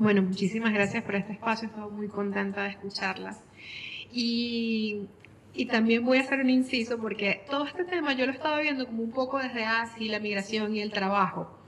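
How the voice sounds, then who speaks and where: Against noticeable background noise, a woman speaks fairly quickly in a fairly high pitch with ordinary pitch variation. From Venezuela, Maracaibo. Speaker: activist. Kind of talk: panel discussion.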